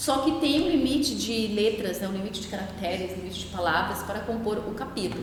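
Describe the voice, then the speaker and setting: A woman's fairly high-pitched voice with lively intonation, amid noticeable background noise and audible room echo. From Brazil, Minas Gerais. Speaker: educator and author. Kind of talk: podcast interview. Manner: fast.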